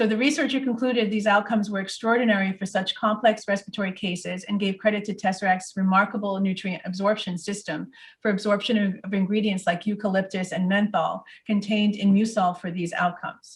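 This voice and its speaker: With an American accent, a somewhat breathy woman speaks at a very fast pace with a medium pitch. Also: fairly even intonation. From US Northeast. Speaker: product presenter. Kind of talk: webinar presentation.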